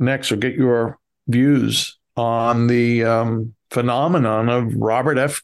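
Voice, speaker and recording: This man has an American accent and a medium pitch. His intonation is fairly even. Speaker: podcast co-host. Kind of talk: interview podcast. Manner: hesitant, many fillers.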